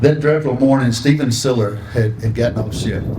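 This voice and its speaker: Speaking with a Southern US accent, a man is heard through audible room echo and noticeable background noise. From North Carolina. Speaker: foundation ambassador. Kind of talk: ceremony speech.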